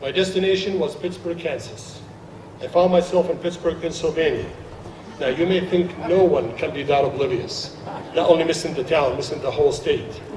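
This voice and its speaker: A man talks at a high pitch and a fairly quick pace. The audio has audible room echo and noticeable background noise. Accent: Arabic. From Jordan, Palestinian family, Saudi Arabia. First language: Arabic. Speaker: naturalized citizen guest speaker. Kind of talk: ceremony speech.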